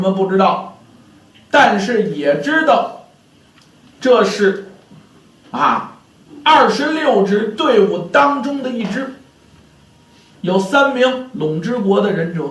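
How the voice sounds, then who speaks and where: Very slow speech with very wide pitch swings is broken by long, frequent pauses. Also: man. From Beijing. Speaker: pingshu storyteller. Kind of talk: pingshu storytelling.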